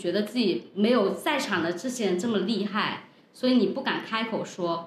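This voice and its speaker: Amid audible room echo and noticeable background noise, a woman with a fairly high pitch speaks at a moderate pace in an animated tone with lively intonation. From Guangdong, China. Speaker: podcast host and entrepreneur. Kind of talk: casual chat.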